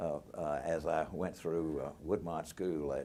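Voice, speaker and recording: A man with a Southern US accent, very deep and low in pitch, with fairly even intonation, a dark, mellow tone, vocal fry and a very slow pace. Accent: US South (Tennessee). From Nashville, Tennessee. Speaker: retired lawyer. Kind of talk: oral history interview. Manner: halting, many fillers.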